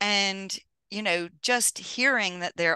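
This woman has a bright, sharp tone. She speaks with an American accent. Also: dry, close sound with no echo, quiet background. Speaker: podcast host. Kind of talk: casual interview.

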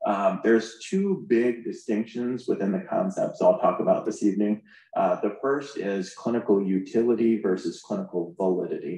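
A man speaks with an American accent at a moderate pace. He hardly pauses at all. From US Midwest, South Bend, Indiana. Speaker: medical oncologist. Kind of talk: conference talk. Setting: stage with audience.

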